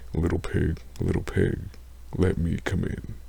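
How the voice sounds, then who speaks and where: Using a put-on character voice, a man speaks at a fairly slow pace in a very deep, low pitch. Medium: read story. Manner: menacing.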